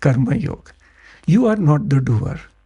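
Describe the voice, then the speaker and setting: Very wide pitch swings run through a man's fairly high, somewhat breathy voice, which has a dark, mellow tone. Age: 60s. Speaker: entrepreneur, founder of a broking firm. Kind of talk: podcast interview. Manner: code-switching Hindi and English, repetitive fillers.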